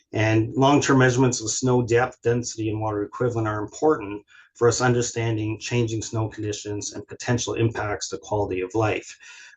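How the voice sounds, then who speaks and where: A man with a Canadian accent speaks in a flat monotone, somewhat breathy, with hardly any pauses. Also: medium pitch for a man, fairly quick pace. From southern Ontario, Canada. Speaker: research scientist, hydrologist. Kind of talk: webinar presentation. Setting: video call. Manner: fast; hesitant, many fillers and restarts.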